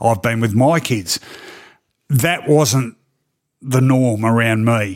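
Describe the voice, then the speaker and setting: In an Australian accent, a man speaks at medium pitch and a very slow pace, with long, frequent pauses. His loudness stays very even, and the recording is very clean with a silent background. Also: ordinary pitch variation. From Melbourne, Australia. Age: 50s. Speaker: sports journalist. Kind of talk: casual interview. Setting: studio.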